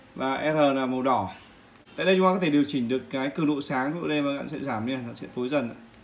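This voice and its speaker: Very fast and with ordinary pitch variation, a man speaks. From Vietnam. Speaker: product reviewer. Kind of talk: tutorial. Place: home room. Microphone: phone near.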